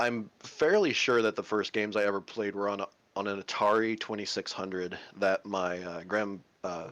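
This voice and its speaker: Fairly low in pitch, a man speaks with an American accent. His pace is moderate and his intonation fairly even. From Kentucky. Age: 30s. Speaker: stream community moderator. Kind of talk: casual chat.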